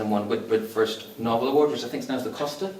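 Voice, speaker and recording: In a Northern Irish accent, the voice carries audible room echo amid noticeable background noise. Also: man. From Northern Ireland. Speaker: literary event host. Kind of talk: event introduction. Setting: stage with audience. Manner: hesitant, many fillers.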